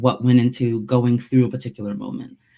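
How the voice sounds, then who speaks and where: Here a woman speaks with an American accent. Her pitch is very deep and low, with a dark, mellow tone. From United States, Nigerian-American household. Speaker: theologian and author. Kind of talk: webinar interview.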